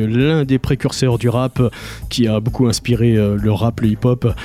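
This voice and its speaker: With music in the background, a man speaks in an upbeat, warm tone at a fairly quick pace. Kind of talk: radio DJ patter, French-language reggae show intros and outros between tracks. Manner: upbeat, smooth, warm 'good vibration' tone with rapid-fire track rundowns; reverent, tribute-minded tone when announcing a deceased artist.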